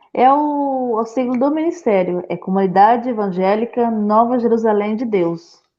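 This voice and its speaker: With an interior São Paulo accent, a woman speaks at a moderate pace in a fairly high pitch, with ordinary pitch variation and hardly any pauses. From interior of São Paulo state, Brazil. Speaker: pastor. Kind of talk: casual interview. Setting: online live stream. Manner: halting.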